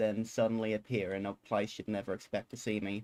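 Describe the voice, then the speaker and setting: The voice is a man's. Its pitch is medium. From South Australia. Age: turning 19. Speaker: gaming streamer. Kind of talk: casual livestream chat while gaming.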